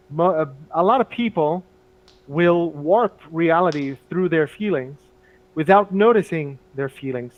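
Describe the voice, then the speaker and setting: A high-pitched male voice at a fairly slow pace. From Brazil. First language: Portuguese. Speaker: English teacher. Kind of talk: casual chat. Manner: halting.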